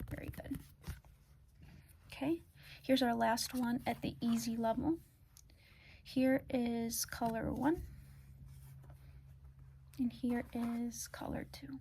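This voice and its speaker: A soft-spoken woman talks at a fairly high pitch. Her pace is very slow, with long, frequent pauses. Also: ordinary pitch variation. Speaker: ASMR artist doing a doctor roleplay. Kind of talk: ASMR roleplay, calm guided test.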